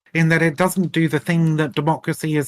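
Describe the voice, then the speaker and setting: With a British accent, a man speaks at a very fast pace on a very clean recording with a silent background and a dry, close sound with no echo. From Britain. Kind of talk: heated debate.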